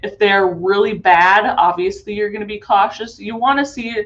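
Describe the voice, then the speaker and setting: A woman speaks with an ordinary speaking voice. Her pitch is medium and her pace fairly slow. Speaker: conference presenter. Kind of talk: webinar presentation.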